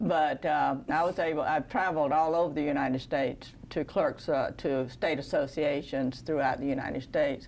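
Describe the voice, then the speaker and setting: A woman with a Southern US accent speaks at a moderate pace, her pitch very deep and low. Her loudness is very even, her intonation fairly even, and she hardly pauses at all. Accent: Southern American. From US South, Georgia. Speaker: city clerk. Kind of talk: interview.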